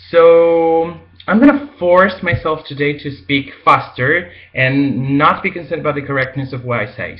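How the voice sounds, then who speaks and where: A man talks at a moderate pace in a fairly high pitch. His pitch varies in an ordinary way. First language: Spanish. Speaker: language teacher. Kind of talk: casual talk to camera.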